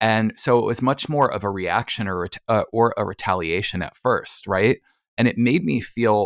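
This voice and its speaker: A man with an ordinary speaking voice and an American accent speaks at a fairly low pitch with ordinary pitch variation, in a very clean recording with a silent background and a dry, close sound with no echo. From New Jersey, US. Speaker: hypnotherapist. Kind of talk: casual interview.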